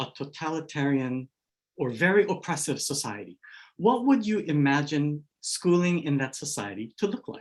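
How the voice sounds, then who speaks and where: With a slight Hawaii accent, a man speaks at a moderate pace. His pitch swings very widely. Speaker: education scholar, keynote speaker. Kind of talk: keynote lecture.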